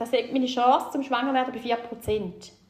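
A woman speaks in a high pitch. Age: 40s. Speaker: guest sharing fertility story. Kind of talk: personal testimony.

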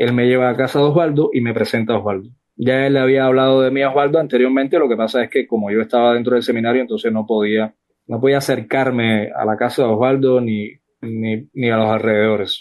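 A man talks at a very fast pace. His medium-pitched voice keeps fairly even intonation. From Cuba, Villa Clara (Sagua la Grande). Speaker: political activist. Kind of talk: interview testimony. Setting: online audio room.

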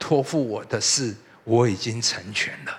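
A man speaks at a very slow pace. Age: 60s. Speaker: pastor. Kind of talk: sermon.

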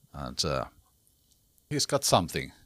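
In a Finnish accent, the voice has a bright, sharp tone at a fairly slow pace. The recording is very clean, with a silent background. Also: man. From Finland. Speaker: rock singer. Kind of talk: interview. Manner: halting.

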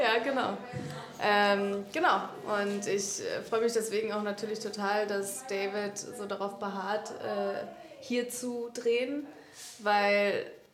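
With noticeable background noise and audible room echo, a woman speaks. Her intonation is monotone and flat. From Saxony, Görlitz. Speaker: actress. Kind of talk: interview. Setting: film set.

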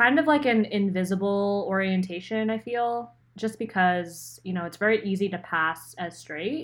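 A woman with an unremarkable speaking voice, medium in pitch, with an American accent, at a fairly slow pace, on a very clean recording with a silent background. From Pennsylvania, near Philadelphia. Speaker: podcast co-host and designer. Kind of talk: casual chat.

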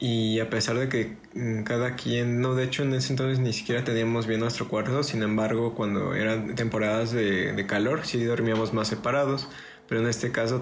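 A man with a medium pitch talks at a moderate pace and with fairly even intonation, with audible room echo and noticeable background noise. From Mexico, Orizaba, Veracruz. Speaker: podcast host and musician. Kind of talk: casual chat.

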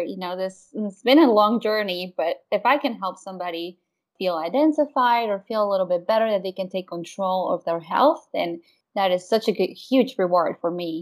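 A woman speaks with a Spanish accent. Her intonation is lively. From Mexico (Querétaro). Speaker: wellness consultant and mom. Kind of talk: interview conversation.

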